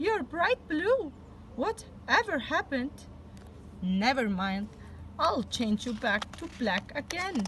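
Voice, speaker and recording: In a put-on character voice pitched high, a woman speaks at a fairly slow pace with long, frequent pauses over clear background noise. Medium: read story.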